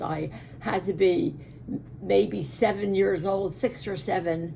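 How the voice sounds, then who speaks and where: A woman's medium-pitched voice with an American accent, very slow and with lively intonation. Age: 80s+. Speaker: interviewee recounting family memories. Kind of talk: family oral history interview. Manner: halting, with frequent fillers.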